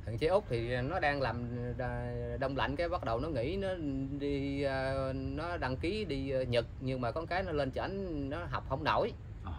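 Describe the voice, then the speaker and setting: Noticeable background noise sits behind a man speaking at a medium pitch and moderate pace. His intonation is lively, with long, frequent pauses. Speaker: man looking for his wife and children. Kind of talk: casual interview, telling his story. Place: garden.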